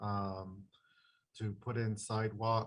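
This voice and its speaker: A soft-spoken man talks in a medium pitch with a somewhat breathy voice and monotone, flat intonation. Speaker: traffic engineer. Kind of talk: public meeting presentation. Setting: video call from home. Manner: halting, many fillers. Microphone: too quiet.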